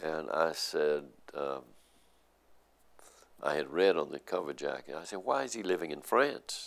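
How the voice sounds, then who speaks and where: A man with a Middle Tennessee accent talks at a moderate pace in a very deep, low pitch with vocal fry. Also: ordinary pitch variation. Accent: Southern American (Middle Tennessee). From Nashville, Tennessee. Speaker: journalist. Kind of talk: oral history interview answer. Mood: reflective, warm storytelling. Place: office.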